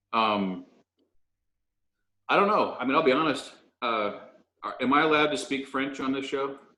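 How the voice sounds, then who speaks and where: A man with a slight Southern US accent speaks at a fairly high pitch and a moderate pace, leaving long, frequent pauses. His tone is bright and sharp with lively intonation, and room echo is audible. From moved around a lot as a military child. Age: 40s. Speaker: chef and restaurant owner. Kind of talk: casual interview chat. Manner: hesitant, many fillers.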